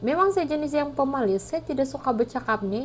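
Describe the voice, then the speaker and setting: A woman talks with a strong Sabahan accent and lively intonation. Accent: thick Sabahan Malay. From Sabah, Malaysia. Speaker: vlogger. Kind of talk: casual vlog talk. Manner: hesitant, many fillers.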